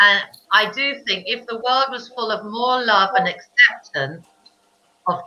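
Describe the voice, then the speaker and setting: A woman speaks in a British accent at a fairly slow pace. Her tone is bright and sharp. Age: 50s. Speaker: children's book author. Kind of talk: casual chat. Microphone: connection froze.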